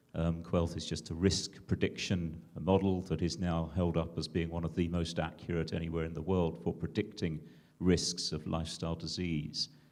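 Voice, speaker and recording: A man with a British accent speaks at a moderate pace in a very deep, low pitch, his intonation monotone and flat with hardly any pauses. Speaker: digital health entrepreneur and clinician. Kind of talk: conference panel discussion.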